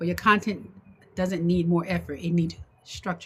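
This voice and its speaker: Somewhat breathy and fairly low in pitch, a woman talks at a fairly quick pace with an American accent. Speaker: online business coach. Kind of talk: livestream talk to viewers. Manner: fast; halting, many fillers and repeats.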